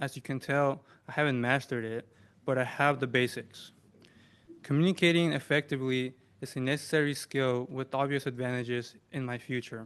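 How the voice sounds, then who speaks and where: Against a quiet background, a man talks at a medium pitch. He has a non-native accent. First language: not English. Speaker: student veteran. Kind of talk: prepared speech. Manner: halting.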